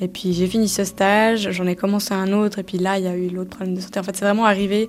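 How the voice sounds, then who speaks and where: Over music in the background, a woman talks at a fairly quick pace in a medium pitch with monotone, flat intonation. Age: 20s. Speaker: person living with multiple sclerosis. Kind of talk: personal testimony interview.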